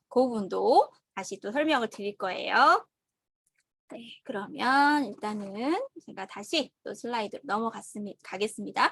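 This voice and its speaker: Her pitch fairly high, a woman speaks with lively intonation and big swings in loudness. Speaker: online course instructor. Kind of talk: lecture. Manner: slow; halting.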